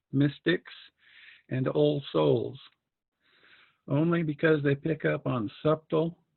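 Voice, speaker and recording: Speaking at a fairly slow pace, a man uses a fairly high pitch. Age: 60s. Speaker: member giving a talk. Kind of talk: reading aloud a prepared talk.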